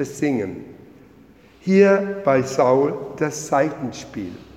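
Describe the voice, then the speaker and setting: With noticeable background noise behind him, a man speaks very slowly at a fairly high pitch, with ordinary pitch variation. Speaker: lay preacher. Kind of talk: sermon in church, measured, with a read-aloud story excerpt. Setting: church. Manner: formal, measured, earnest pulpit delivery.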